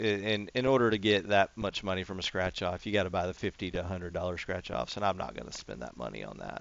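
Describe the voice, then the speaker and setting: With a slight Texan accent and vocal fry, the speaker moves at a fairly quick pace with ordinary pitch variation. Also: man. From Texas. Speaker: gaming YouTuber. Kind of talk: casual gameplay commentary. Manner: rambling, filler-heavy.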